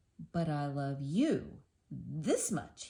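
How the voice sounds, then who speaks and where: A put-on character voice sits at a low-to-middle pitch. Its tone is gentle. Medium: read story. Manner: gentle, affectionate.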